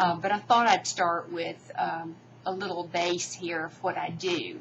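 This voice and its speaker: Over noticeable background noise, a woman talks at a fairly slow pace in a fairly low pitch, her intonation monotone and flat. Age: 60s. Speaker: beauty vlogger. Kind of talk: tutorial. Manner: halting.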